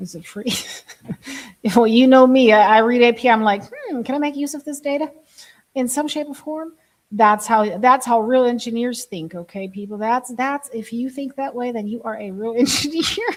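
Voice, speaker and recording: The delivery moves at a moderate pace with ordinary pitch variation. Loudness rises and falls in big swings. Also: woman, high pitch for a woman. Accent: slight German. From Germany. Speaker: live streamer and software engineer. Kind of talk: casual live stream.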